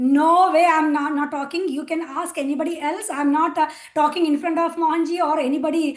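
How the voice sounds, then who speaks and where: Her pitch high, a woman talks at a fairly quick pace in a monotone, flat intonation. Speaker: spiritual volunteer sharing testimony. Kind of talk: testimony. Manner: hesitant, many fillers.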